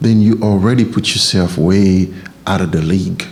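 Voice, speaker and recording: A man's fairly slow speech is accompanied by noticeable background noise. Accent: Haitian. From Haiti. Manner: light accent in English.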